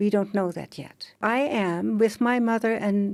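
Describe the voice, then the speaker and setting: A woman with a Dutch accent, medium pitch, and a dark, mellow tone, at a moderate pace with ordinary pitch variation. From Netherlands. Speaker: author. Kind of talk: interview testimony. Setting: studio.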